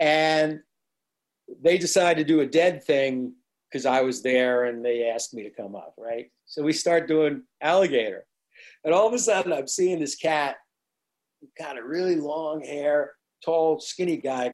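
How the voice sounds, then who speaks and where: Someone with an American accent speaks at a fairly slow pace with ordinary pitch variation and long, frequent pauses. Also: man, fairly high pitch for a man. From New Jersey. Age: 60s. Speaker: musician. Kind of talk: interview recollection.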